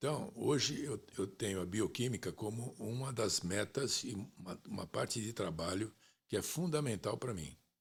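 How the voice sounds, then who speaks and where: A man speaks at a moderate pace in a somewhat breathy voice with lively intonation. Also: medium pitch for a man. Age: 70s. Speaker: sports manager. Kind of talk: interview.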